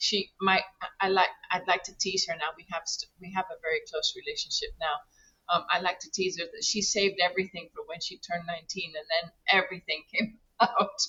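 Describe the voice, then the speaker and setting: A woman speaks at a fairly quick pace. Her loudness swings widely. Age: 60s. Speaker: regenerative rancher. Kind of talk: interview. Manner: halting, many repetitions.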